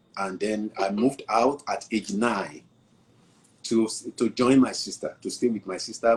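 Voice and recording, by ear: At a fairly slow pace, a man speaks in a fairly low pitch with a slightly husky edge.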